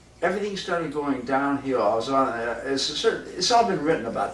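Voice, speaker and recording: A man with an American accent at a very fast pace and medium pitch, with audible room echo and noticeable background noise. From Southern California, Hollywood. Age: 70s. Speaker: jazz clarinetist. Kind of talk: casual storytelling monologue. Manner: animated, profane.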